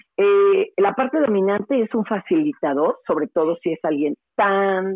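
A woman speaks with a Mexican accent at a medium pitch. Her pitch swings very widely. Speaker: radio host and journalist. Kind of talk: casual interview.

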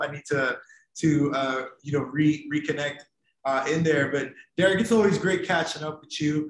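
Somewhat breathy, this voice has an American accent, a moderate pace and fairly even intonation. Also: man. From Ohio. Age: 30s. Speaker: podcast host. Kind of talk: casual chat.

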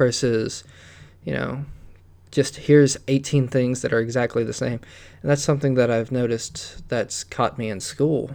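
Mid-range male pitch at a middling speed, the intonation fairly level. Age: 20s. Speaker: solo podcast host. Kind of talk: casual monologue. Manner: halting.

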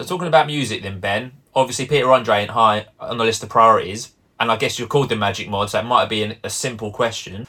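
A man talks at a very fast pace with hardly any pauses. His medium-pitched voice has a bright, sharp tone and ordinary pitch variation. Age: 40s. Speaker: podcast host. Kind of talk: casual chat.

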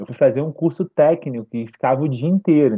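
A man with a normal speaking voice, fairly high in pitch, with lively intonation. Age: 30s. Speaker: podcaster. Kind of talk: casual chat.

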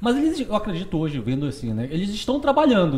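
Over noticeable background noise, a man with a high pitch talks at a very fast pace, his pitch swinging very widely. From Parintins, Amazonas, northern Brazil. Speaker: podcast host. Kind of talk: casual interview chat.

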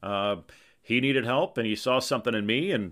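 Here a man talks at a fairly quick pace. His pitch is fairly low, with ordinary variation. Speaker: podcast host. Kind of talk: solo podcast narration, casual storytelling. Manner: casual, filler-heavy, conversational.

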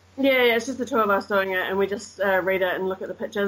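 A woman talks at a medium pitch with fairly even intonation. She has a slight New Zealand accent. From New Zealand, Christchurch. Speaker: English teacher and tour guide. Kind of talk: casual chat. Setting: remote call.

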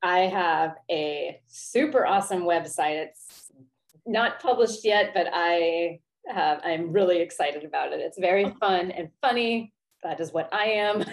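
A woman's medium-pitched, normal speaking voice at a fairly slow pace. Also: ordinary pitch variation. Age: 40s. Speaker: life coach and former therapist. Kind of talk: interview.

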